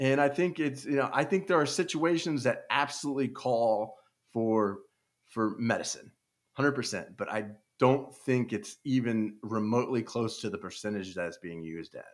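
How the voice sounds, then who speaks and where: On a very clean recording with a silent background, a speaker with an American accent uses lively intonation at a moderate pace. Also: man, medium pitch for a man. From Kansas City area, US Midwest. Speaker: retired sports radio producer and author. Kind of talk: podcast interview. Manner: halting.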